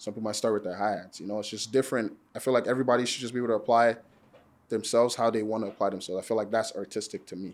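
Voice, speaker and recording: A man with an American accent, medium in pitch, at a very fast pace with fairly even intonation. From Nigeria, Lagos. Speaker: music producer and barber. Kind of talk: casual podcast conversation.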